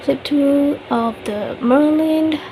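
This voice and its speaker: Noticeable background noise sits under a woman's voice. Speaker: book flip-through video maker. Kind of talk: casual talk to camera.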